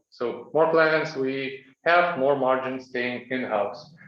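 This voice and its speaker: Audible room echo surrounds a man as he speaks. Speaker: startup founder pitching. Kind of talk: pitch presentation. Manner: clear.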